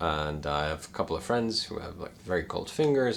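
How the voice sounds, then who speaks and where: A man speaks with an American accent. His voice is very deep and low. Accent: American, at times put-on fake British. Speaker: climbing gear youtuber. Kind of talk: casual talking-head review. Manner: halting, with fillers and repeats.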